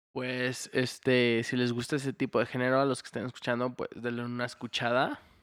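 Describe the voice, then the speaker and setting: Using monotone, flat intonation, a man at a medium pitch speaks at a fairly quick pace with hardly any pauses. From Houston, Texas. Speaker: podcast host. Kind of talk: casual chat.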